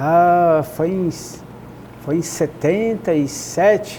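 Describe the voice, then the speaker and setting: Noticeable background noise sits under the speech. Pitch shows ordinary variation. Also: man. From Volta Redonda, Rio de Janeiro state, Brazil. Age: 70s. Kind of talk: testimony interview. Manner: halting, with false starts.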